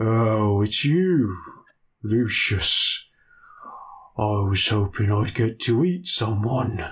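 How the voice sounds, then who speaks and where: A man uses a put-on character voice at a medium pitch. He talks at a very slow pace with long, frequent pauses. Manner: menacing, hungry.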